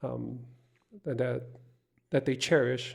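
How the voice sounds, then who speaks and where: A man's flat, monotone delivery at a moderate pace, with vocal fry. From Hawaii, Oahu (Honolulu). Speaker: podcast guest. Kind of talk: casual chat. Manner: hesitant, many fillers.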